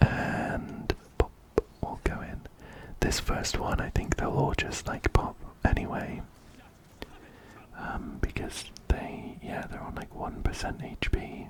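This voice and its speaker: A man whispering at a very slow pace, with long, frequent pauses, big swings in loudness and noticeable background noise. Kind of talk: ASMR gaming commentary. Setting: close binaural microphone. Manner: whispered.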